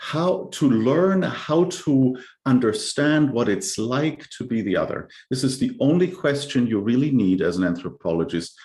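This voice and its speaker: Medium-pitched male voice in a German accent, with vocal fry, very wide pitch swings, a moderate pace, and a quiet background. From Germany. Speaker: cultural anthropologist. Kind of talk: presentation with slides. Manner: halting, with repetitions and fillers.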